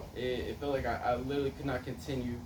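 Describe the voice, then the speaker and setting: This man talks at a moderate pace and a medium pitch. Background noise is noticeable behind him. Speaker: wrestler. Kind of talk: personal story speech. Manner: hesitant, many fillers.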